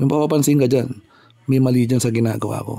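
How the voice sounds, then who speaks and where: A dark, mellow tone with fairly even intonation. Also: man. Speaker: motorcycle DIY vlogger. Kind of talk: casual tutorial vlog.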